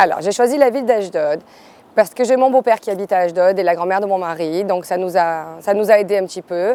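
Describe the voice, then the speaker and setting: A woman with an ordinary speaking voice, medium pitch, ordinary pitch variation and a fairly quick pace. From Marseille, France. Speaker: hairdresser. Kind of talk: interview testimony.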